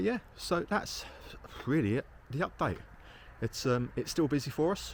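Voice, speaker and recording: With a southern English accent, a man swings his pitch very widely while his voice drops into vocal fry. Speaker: caravan salesman. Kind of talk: casual video update. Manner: casual, hesitant with fillers.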